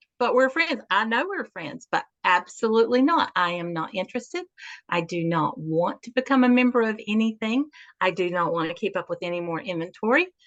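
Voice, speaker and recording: In a Southern US accent, a woman talks at a fairly quick pace, her fairly high voice making very wide pitch swings. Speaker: natural health practitioner. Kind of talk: interview.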